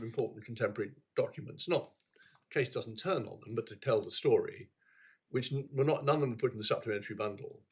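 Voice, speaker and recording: This is a man speaking. He talks with a British accent. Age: old. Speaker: appeal court judge. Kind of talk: courtroom proceedings. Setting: courtroom. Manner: halting.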